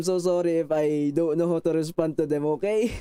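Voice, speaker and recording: A man talks at a fairly quick pace with a strong Filipino accent. His pitch is fairly high, and his tone is dark and mellow. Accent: thick Filipino. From Philippines. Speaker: VTuber streamer. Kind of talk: casual chat. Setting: live stream. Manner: halting.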